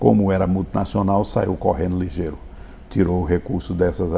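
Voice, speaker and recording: Here a man speaks with a very deep, low voice. His pitch varies in an ordinary way. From Brazil, Paraíba backlands (Sousa). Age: 70s. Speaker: doctor and businessman. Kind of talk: interview. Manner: halting with repetitions.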